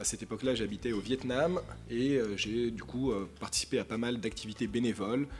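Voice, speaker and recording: Vocal fry colors a man's voice. He talks at a fairly quick pace. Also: medium pitch for a man, ordinary pitch variation. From Paris, France. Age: 30s. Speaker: author and social science doctoral student. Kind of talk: public talk at a conference. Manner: hesitant, many repetitions and fillers.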